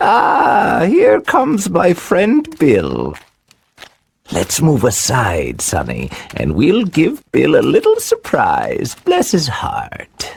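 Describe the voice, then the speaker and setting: Using a put-on character voice, a man speaks at a very slow pace. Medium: audio drama. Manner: sneering, falsely friendly with menace.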